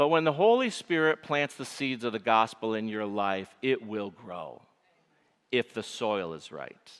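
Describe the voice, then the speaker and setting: With a Michigan accent, a man speaks at medium pitch and a fairly slow pace, his intonation lively and his loudness swinging widely, on a very clean recording with a silent background. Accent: Michigan nasal. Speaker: pastor. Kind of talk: sermon.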